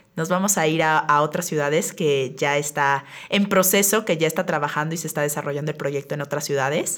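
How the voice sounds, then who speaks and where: Talking at a fairly quick pace with hardly any pauses, a woman has a very deep, low pitch. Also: ordinary pitch variation. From Mexico City. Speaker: public relations agency owner, podcast host. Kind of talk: casual podcast conversation.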